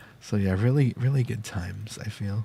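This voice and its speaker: A soft-spoken man talks at a fairly slow pace. His pitch varies in an ordinary way. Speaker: vtuber streamer. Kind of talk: casual chat. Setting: live stream. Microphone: new audio settings, more background noise.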